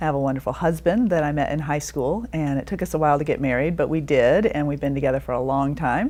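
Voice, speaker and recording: With a slight Southern US accent, a woman talks very fast in a very deep, low voice, with ordinary pitch variation and hardly any pauses. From Georgia, US South. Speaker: business coach and author. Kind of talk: interview.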